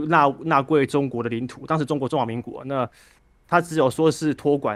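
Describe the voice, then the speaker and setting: Against a quiet background, a man speaks in a fairly high pitch with ordinary pitch variation. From Taiwan, Penghu islands; Taiwan. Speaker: caller. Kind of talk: call-in political discussion. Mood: calm, reflective political talk.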